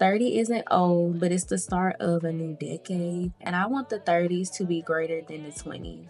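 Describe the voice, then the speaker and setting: Music plays in the background as a woman speaks at a moderate pace. Her pitch is fairly low, with ordinary variation. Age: 20s. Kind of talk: personal diary voiceover. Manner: reflective, candid.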